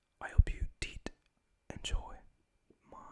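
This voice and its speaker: Someone is whispering at a fairly slow pace. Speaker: ASMR content creator. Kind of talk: casual talk to camera. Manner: whispered, soft-spoken.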